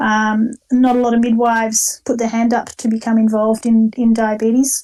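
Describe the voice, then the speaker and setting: A woman with an Australian accent talks at a moderate pace and fairly high pitch, her dark, mellow tone delivered with monotone, flat intonation and very even loudness. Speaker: diabetes educator and nurse. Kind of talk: online talk. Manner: hesitant, many fillers.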